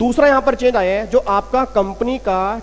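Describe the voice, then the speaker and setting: With music in the background, a man speaks at a fairly slow pace in a high voice, his intonation fairly even. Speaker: accountancy exam teacher. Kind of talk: lecture.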